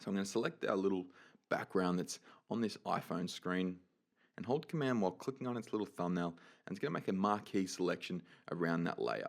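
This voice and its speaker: In an Australian accent, a man talks at a fairly quick pace in a fairly low pitch with an upbeat tone and ordinary pitch variation, on a very clean recording with a silent background. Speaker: 3D animation tutorial creator. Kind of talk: software tutorial. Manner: casual, upbeat.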